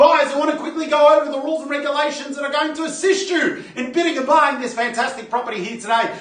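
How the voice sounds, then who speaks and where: Over noticeable background noise, a man speaks at an extremely high pitch with ordinary pitch variation. He goes very fast with hardly any pauses. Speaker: real estate auctioneer. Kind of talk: live property auction bidding call.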